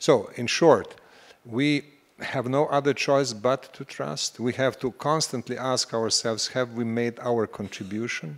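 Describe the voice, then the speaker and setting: Using an unremarkable speaking voice, a man talks at a fairly slow pace and medium pitch with ordinary pitch variation. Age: 60s. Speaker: panel speaker. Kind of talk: panel discussion.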